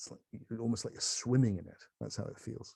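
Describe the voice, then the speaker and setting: His voice is somewhat breathy, with a fairly low pitch. The man's tone is dark and mellow. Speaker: spiritual teacher. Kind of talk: casual chat. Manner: fast; animated.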